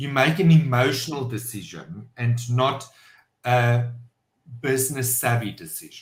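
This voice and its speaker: There is audible room echo as a man of medium pitch speaks at a fairly slow pace with long, frequent pauses, ordinary pitch variation and big swings in loudness. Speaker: entrepreneur and business owner. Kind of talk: podcast interview. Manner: halting, many fillers.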